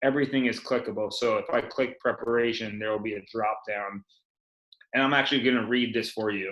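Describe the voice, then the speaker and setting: Using an ordinary speaking voice, a man talks fairly quickly at a medium pitch with fairly even intonation. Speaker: sports tech company co-owner. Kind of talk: webinar presentation.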